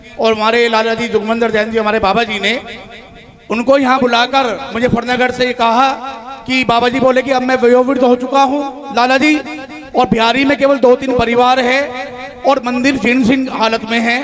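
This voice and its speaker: Over noticeable background noise, a man talks at an extremely high pitch in a monotone, flat intonation. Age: 40s. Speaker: donor family representative. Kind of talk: public address at religious event.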